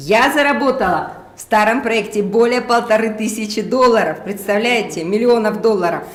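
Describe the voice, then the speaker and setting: A woman speaks in an animated tone. Noticeable background noise and audible room echo are present. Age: 60s. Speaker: network marketing distributor. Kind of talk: testimony. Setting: live stream.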